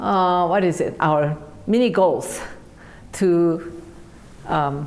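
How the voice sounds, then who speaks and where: A very slow woman's voice in a Korean accent, with ordinary pitch variation and audible room echo. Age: 70s. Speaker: piano teacher. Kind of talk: interview. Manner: halting, many fillers.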